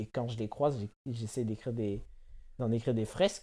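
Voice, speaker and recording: The man's voice carries a dark, mellow tone. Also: quiet background. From France, Bordeaux. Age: 20s. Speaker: writer. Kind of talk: casual interview. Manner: hesitant, many fillers.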